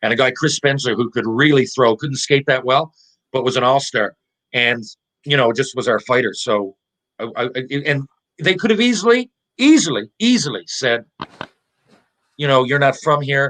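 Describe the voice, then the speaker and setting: With a Newfoundland accent, a man talks in an animated tone at a moderate pace with long, frequent pauses, the sound dry and close with no echo. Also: medium pitch for a man, ordinary pitch variation. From Newfoundland, Canada (Mount Pearl). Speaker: former pro hockey player. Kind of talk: podcast interview storytelling.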